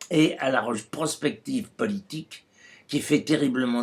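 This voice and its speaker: A man's fairly high voice with very wide pitch swings, at a fairly slow pace. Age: 80s+. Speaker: writer. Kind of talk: public address. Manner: formal.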